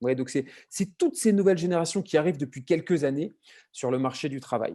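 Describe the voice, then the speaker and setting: Fairly quick and fairly high-pitched, a man talks in a dark, mellow tone. His pitch varies in an ordinary way. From southern France. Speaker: marketing consultant. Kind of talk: webinar presentation. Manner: fast; hesitant, many fillers.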